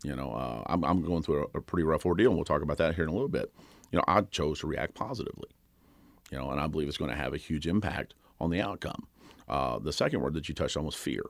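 With an American accent, a man speaks very fast in a very deep, low voice with vocal fry and ordinary pitch variation. The recording is very clean, with a silent background. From Kentucky. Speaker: personal trainer and gym owner. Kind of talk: interview. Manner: loud; energetic.

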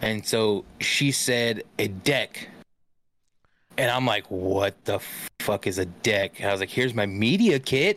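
An ordinary speaking voice with ordinary pitch variation and very even loudness comes through on a very clean recording with a silent background. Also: man, fairly low pitch for a man, fairly slow pace. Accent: American. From California, Central Valley (Stockton). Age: 30s. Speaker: gaming streamer. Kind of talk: casual chat.

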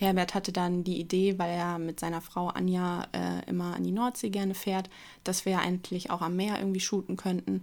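The recording is very clean with a silent background, and the words come at a moderate pace. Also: woman. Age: 20s. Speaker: model and media designer. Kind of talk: casual interview. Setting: studio office, two mics.

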